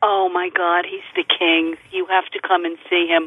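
Her voice sits fairly low in pitch. The woman speaks in a monotone with flat intonation. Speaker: fundraiser organizer. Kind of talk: interview.

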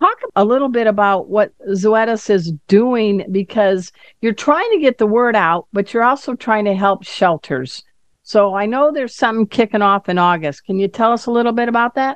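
Heard in a dry, close recording with no echo and a quiet background, a woman uses a normal speaking voice, fairly high in pitch with ordinary pitch variation. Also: moderate pace. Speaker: radio host. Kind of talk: interview.

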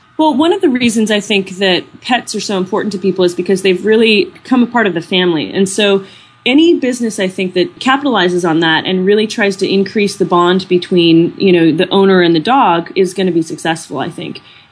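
Somewhat breathy, a woman talks at a fairly quick pace with ordinary pitch variation and hardly any pauses. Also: medium pitch for a woman. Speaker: dog business entrepreneur and trainer. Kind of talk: interview. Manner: calm.

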